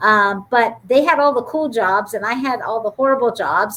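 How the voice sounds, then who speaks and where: A woman with an American accent uses a normal speaking voice, fairly high in pitch, with ordinary pitch variation at a moderate pace. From Youngstown, Ohio. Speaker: business school dean. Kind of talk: panel interview.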